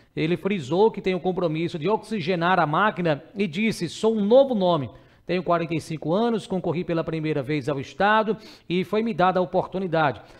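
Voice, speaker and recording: The background is quiet. A man speaks with a high pitch. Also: ordinary pitch variation, moderate pace. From Brazil, Sergipe (Ribeirópolis); Sergipe, Brazil. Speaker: news show host. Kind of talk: news commentary. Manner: casual, conversational. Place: studio. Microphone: headset.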